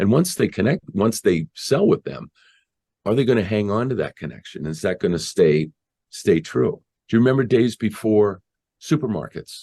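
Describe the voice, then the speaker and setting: A man with an American accent, dark, mellow tone and very wide pitch swings, at a moderate pace in a dry, close sound with no echo. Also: fairly low pitch for a man. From Boston area, Massachusetts. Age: 60s. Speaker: marketer and audio producer. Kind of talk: interview conversation.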